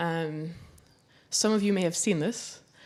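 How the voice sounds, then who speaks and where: A woman speaks with a Flemish accent. The recording is very clean, with a silent background. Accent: Belgian (Flemish) English. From Belgium. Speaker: documentary photographer and filmmaker. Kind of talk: public talk.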